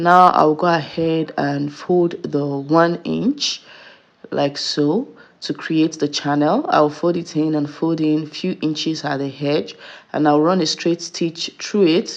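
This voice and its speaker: Very slowly and at a very deep, low pitch, a woman speaks with fairly even intonation. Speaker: sewing tutor. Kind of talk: tutorial. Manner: steady, instructional.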